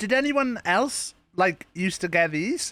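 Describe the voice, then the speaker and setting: A man speaks with very wide swings in pitch. Music plays behind him. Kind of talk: casual streamer talk to camera. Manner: casual, conversational.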